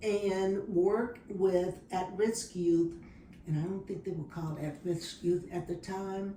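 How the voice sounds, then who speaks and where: A woman speaks very slowly at a medium pitch, her intonation fairly even, with noticeable background noise. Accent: American. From Dallas, Texas. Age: 70s. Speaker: retired social worker. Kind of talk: interview answer.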